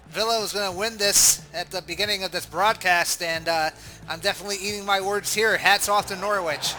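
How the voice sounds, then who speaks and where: Raising and projecting his high voice, a man with a Boston accent speaks at a moderate pace with fairly even intonation. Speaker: sports commentator. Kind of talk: live commentary.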